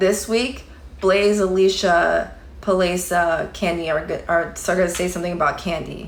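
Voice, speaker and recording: In audible room echo, a woman with a fairly low pitch speaks with fairly even intonation. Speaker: livestreamer commenting on online drama. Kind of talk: casual livestream chat reading comments. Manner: slow.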